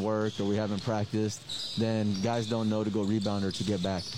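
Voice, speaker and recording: A man speaks at a moderate pace with a fairly low pitch. His delivery is monotone and flat, with noticeable background noise. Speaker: basketball head coach. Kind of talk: interview. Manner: halting, filler-heavy, casual.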